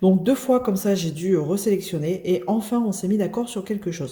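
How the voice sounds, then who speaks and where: A woman's dark, mellow, somewhat breathy voice with lively intonation. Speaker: crafts youtuber. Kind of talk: unboxing video. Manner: casual, hesitant with many fillers.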